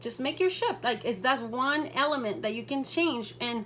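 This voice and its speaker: A woman with a non-native accent, at a moderate pace. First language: not English. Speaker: direct sales team director. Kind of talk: motivational talk to team. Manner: casual, with hesitations.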